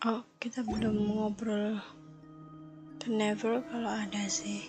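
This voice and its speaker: Whispering at a very slow pace, the speaker is heard over music in the background. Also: woman. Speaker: gamer streamer. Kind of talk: casual gameplay commentary. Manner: whispered.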